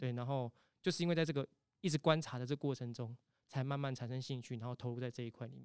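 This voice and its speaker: This man has a Taiwanese accent and a medium pitch, with fairly even intonation. He speaks very fast, and the sound is dry and close with no echo. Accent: Taiwanese Mandarin. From Taiwan, Tainan. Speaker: temple festival culture practitioner. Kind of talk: casual interview.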